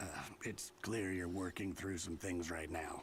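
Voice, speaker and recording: A man puts on a character voice with a very deep, low pitch, speaking at a moderate pace with very even loudness over clear background noise. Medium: video game. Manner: relaxed, gentle.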